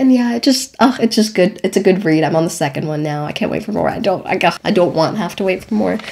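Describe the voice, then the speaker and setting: Over noticeable background noise, a woman with a medium pitch and lively intonation talks at a very fast pace with hardly any pauses. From Germany. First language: not English (English is third language). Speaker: podcast host, drama student. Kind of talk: casual chat. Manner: animated.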